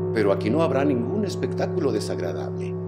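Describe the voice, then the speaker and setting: Over loud music with clear echo, a man uses a put-on, robotic character voice at a very deep, low pitch. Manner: seductive, mocking, persuasive.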